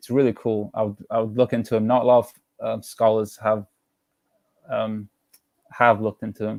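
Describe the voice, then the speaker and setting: With an English accent, a man speaks at a moderate pace and medium pitch in a monotone, flat delivery, his loudness swinging widely between long, frequent pauses, all in a dry, close sound with no echo. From England, of Georgian descent. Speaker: discussion participant. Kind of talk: casual group chat. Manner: halting.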